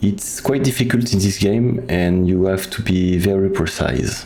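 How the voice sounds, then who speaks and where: A man with a non-native accent talks at a moderate pace in a very deep, low voice with ordinary pitch variation. Audible room echo and noticeable background noise surround him. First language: French. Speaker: video game speedrunner. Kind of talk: tutorial. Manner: halting.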